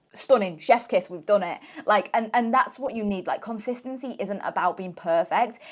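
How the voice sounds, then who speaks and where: A woman's fairly high-pitched voice with ordinary pitch variation and big swings in loudness. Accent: British. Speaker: health and weight loss coach. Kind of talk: podcast interview. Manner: fast.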